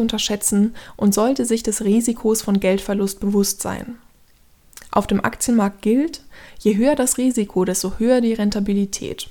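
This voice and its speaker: Her voice is fairly high in pitch with a dark, mellow tone, and this woman keeps a moderate pace and fairly even intonation. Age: 30s. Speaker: podcast host. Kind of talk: scripted narration.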